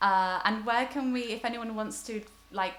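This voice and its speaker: With music in the background, a woman speaks at a moderate pace and a fairly high pitch. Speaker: online festival host. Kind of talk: casual chat.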